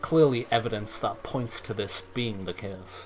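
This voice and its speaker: A man talks moderately paced, with ordinary pitch variation, against noticeable background noise. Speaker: game modder and streamer. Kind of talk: live gameplay commentary.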